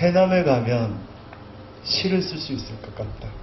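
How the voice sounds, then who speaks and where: A man's high-pitched voice with very wide pitch swings and a moderate pace, amid noticeable background noise and audible room echo. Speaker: poet. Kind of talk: literary talk. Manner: trembling voice.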